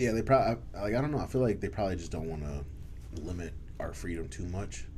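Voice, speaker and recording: In a room with audible echo, a man with a very deep, low pitch talks at a very fast pace with very wide pitch swings. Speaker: podcast host. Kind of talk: casual chat. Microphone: too quiet, far from mic.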